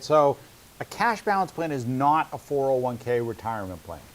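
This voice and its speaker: A man speaks with a New England accent. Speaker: financial advisor and webinar host. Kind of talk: casual educational webinar. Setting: webinar.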